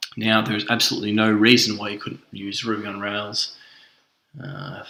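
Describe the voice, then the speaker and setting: A man talks at a moderate pace with a strong Australian accent. His pitch is fairly low. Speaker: self-taught developer, tutorial creator. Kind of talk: tech demo screencast. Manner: casual with frequent fillers (uh, um).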